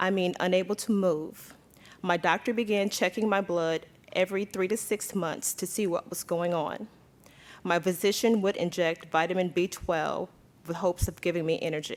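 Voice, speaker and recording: A woman speaks at medium pitch and a moderate pace, with fairly even intonation. Hers is an unremarkable speaking voice. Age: 40s. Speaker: patient advocate. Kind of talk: testimony.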